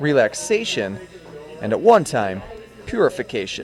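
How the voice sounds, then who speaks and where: The man's fairly slow delivery plays out with music in the background. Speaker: student news reporter. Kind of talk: TV news report voiceover.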